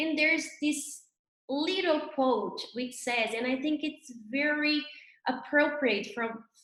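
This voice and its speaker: Talking at a very slow pace, a woman speaks in a Brazilian Portuguese accent. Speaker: labour judge, guest speaker. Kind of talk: webinar talk.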